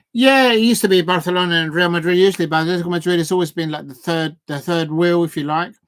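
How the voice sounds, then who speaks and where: The speaker has a South London accent. They talk at a very fast pace with hardly any pauses. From South London (Colombian-born). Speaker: football watch-along streamer. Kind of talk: live watch-along commentary.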